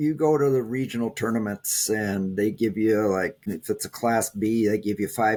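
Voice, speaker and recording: A fairly low-pitched man with a Minnesotan accent, ordinary pitch variation, and a moderate pace, on a very clean recording with a silent background. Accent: Minnesota. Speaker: taekwondo champion. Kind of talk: interview. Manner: halting.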